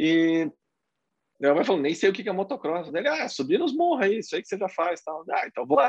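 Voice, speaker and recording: Fairly quick and high-pitched, a man's voice swings very widely in pitch, recorded dry and close with no echo against a quiet background. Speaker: motocross racer. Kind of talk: casual chat.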